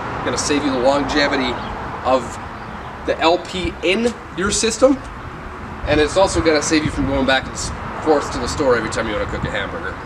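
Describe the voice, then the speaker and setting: Noticeable background noise beneath a very fast pace. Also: man. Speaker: RV salesman. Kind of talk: product walk-through. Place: street.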